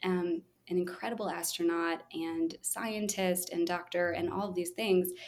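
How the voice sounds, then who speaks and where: A woman speaks quietly in a calm tone at a fairly slow pace. Her intonation is monotone and flat. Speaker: children's musician and early childhood music educator. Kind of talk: casual interview. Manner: calm, quiet on video but extroverted in person.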